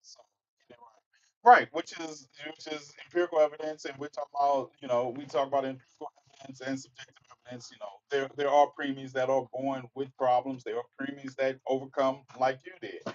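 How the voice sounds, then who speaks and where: An American-accented man speaks at a fairly quick pace and fairly high pitch. His intonation is monotone and flat, though his loudness swings a lot. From Mississippi, US South. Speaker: online talk show host. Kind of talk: livestream commentary. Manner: casual.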